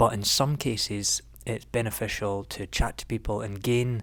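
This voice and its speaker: Soft-spoken and monotone, a man talks with a fairly low pitch and flat intonation. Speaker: photography vlogger. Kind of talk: vlog narration. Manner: halting.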